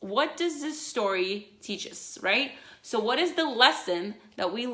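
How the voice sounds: A natural reading voice. The intonation is lively.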